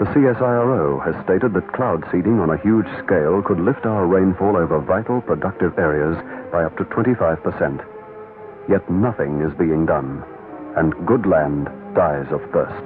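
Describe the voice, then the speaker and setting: With music in the background, a man with a very deep, low pitch speaks at a moderate pace using lively intonation. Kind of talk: political ad narration.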